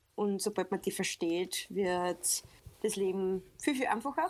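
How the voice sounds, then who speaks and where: The speaker has an Upper Austrian accent. The pace is fairly slow. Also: woman. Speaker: social media coach. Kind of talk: casual podcast interview.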